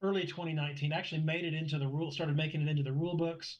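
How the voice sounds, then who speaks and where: A man speaks with a somewhat breathy voice. His intonation is monotone and flat. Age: 60s. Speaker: motorsport club director. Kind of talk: interview conversation.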